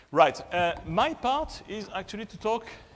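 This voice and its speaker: This is a man talking. He has a French accent. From France. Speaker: HR and communications executive, conference speaker. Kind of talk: conference keynote. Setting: stage with audience. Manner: halting, many fillers.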